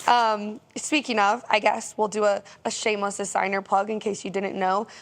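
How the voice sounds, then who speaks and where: A woman speaks with an American accent at a moderate pace. Her pitch sits in the middle range, and her intonation stays fairly even. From US South. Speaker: podcast host. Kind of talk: podcast interview.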